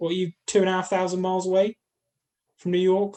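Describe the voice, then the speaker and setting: A man with an English accent and a high voice. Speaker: podcast co-host. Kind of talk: casual chat.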